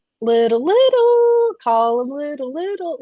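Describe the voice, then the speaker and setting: A put-on character voice, pitched high. It moves at a fairly slow pace with very wide pitch swings. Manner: sing-song, doting.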